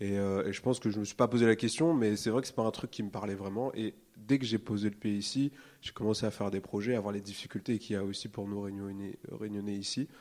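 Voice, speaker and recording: Fairly quick and fairly even in intonation, a man's fairly low voice comes through in a very clean recording with a silent background, an ordinary speaking voice. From Réunion. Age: 20s. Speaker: illustrator. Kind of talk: live panel conversation. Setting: stage with audience.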